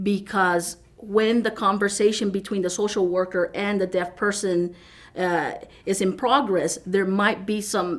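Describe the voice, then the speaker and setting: Speaking at medium pitch, a woman moves at a fairly slow pace with fairly even intonation. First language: American Sign Language. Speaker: sign language interpreter. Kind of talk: interview. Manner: halting, many fillers and restarts.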